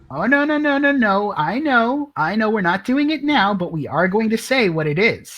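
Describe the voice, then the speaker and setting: A high-pitched man talks at a moderate pace with hardly any pauses. His pitch swings very widely. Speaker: gamer. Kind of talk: casual chat.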